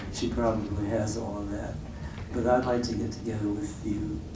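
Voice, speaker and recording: Audible room echo and noticeable background noise surround the recording. A man speaks at a fairly slow pace. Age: 80s+. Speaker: jazz guitarist giving a clinic. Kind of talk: talk to students at a clinic. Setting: classroom with audience. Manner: casual, halting with fillers. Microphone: low quality recording.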